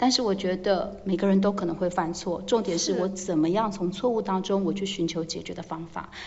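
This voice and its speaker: A woman with a medium pitch talks at a fairly quick pace, with hardly any pauses and fairly even intonation. Audible room echo and noticeable background noise fill the recording. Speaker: English teacher managing foreign teachers. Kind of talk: casual interview.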